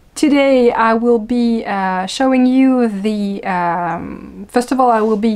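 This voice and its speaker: A woman's fairly high voice in a strong French accent, very slow yet with hardly any pauses, and ordinary pitch variation. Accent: thick French. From France. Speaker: knitting and yarn-dyeing podcast host. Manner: casual, frequent hesitation fillers.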